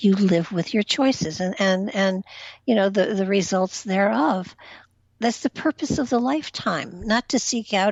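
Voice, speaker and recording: A woman with a plain, everyday voice talks at a medium pitch and a moderate pace, with ordinary pitch variation. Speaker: spiritual empath, reiki master. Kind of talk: interview answer on talk radio.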